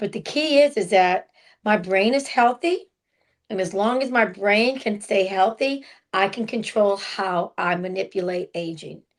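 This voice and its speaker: A woman speaks at a fairly slow pace with a medium pitch and ordinary pitch variation. It is a plain, everyday voice. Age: 60s. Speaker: podcast co-host. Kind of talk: casual chat.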